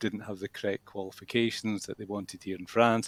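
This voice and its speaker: With a Scottish accent, a man speaks in fairly even intonation, the sound dry and close with no echo. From Scotland. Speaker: English school manager and teacher. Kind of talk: interview. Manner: hesitant, many fillers.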